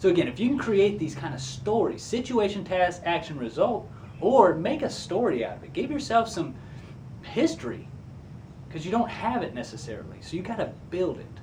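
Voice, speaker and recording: In a room with audible echo, a man speaks at a moderate pace in an animated way, his high voice swinging very widely in pitch. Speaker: career coach. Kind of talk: tutorial.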